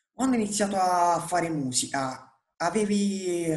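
A man speaks with audible room echo. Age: 20s. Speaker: music interviewer. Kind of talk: interview. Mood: friendly, relaxed. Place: home room. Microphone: earbuds.

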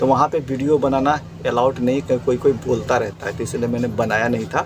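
Against clear music in the background, a man talks at a fairly quick pace and medium pitch with little pitch movement.

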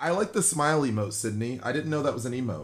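With an animated tone, a man speaks at a moderate pace in a somewhat breathy, medium-pitched voice that swings very widely in pitch. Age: 20s. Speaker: gaming livestreamer. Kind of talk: casual livestream chat. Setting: live stream at home. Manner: animated, joking. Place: home room.

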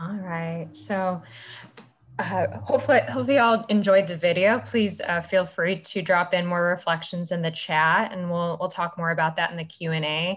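Fairly low-pitched and somewhat breathy, a woman speaks with an American accent. Her pace is moderate and her pitch variation ordinary. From Illinois (Ottawa); Illinois. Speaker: community organizer; conference presenter. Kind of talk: presentation with slides. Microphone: webcam.

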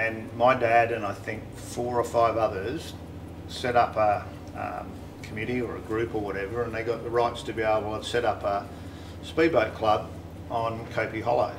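Noticeable background noise sits behind a man speaking in an Australian accent with fairly even intonation. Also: moderate pace. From Broken Hill, New South Wales, Australia; New South Wales, Australia. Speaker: car builder and channel host; channel host. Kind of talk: casual chat. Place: home room.

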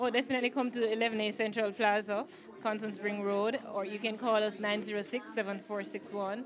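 A woman speaks fairly slowly in a Jamaican accent, her pitch fairly high. Her intonation is monotone and flat over noticeable background noise. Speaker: clothing line owner and designer. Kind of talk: media interview; promotional plug. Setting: product launch event. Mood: pleased, friendly. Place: shop. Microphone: handheld.

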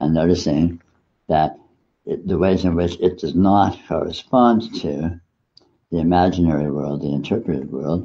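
A man with a very deep, low voice and a dark, mellow tone talks at a fairly slow pace with ordinary pitch variation. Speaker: meditation teacher. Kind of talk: spiritual talk.

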